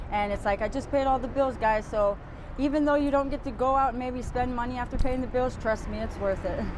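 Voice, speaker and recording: Noticeable background noise sits behind a woman with a high pitch. She talks at a fairly quick pace with fairly even intonation. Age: 30s. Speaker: homeless woman; interviewee. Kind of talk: street interview. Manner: halting. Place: street. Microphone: lapel.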